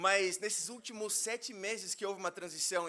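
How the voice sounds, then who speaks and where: A man speaks in a high pitch. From Brazil, interior of São Paulo state. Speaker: minister. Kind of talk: sermon. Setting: church.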